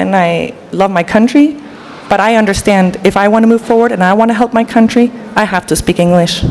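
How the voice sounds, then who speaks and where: A woman talks at a fairly quick pace in a Danish accent, keeping her loudness very even. Noticeable background noise runs behind her. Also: fairly high pitch for a woman, ordinary pitch variation. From Denmark. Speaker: panel speaker. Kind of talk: panel discussion.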